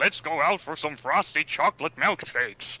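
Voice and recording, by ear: Putting on a character voice, a man speaks at a fairly high pitch. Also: moderate pace.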